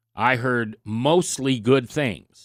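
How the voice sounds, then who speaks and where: The recording is very clean and the background is silent. In it, a man talks with an American accent. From US Midwest, Nebraska. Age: 60s. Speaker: radio talk show host. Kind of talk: radio talk monologue.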